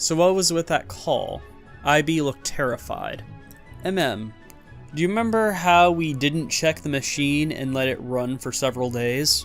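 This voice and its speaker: With music in the background, a man speaks at a fairly slow pace using lively intonation. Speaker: Reddit story narrator. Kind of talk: reading Reddit posts aloud.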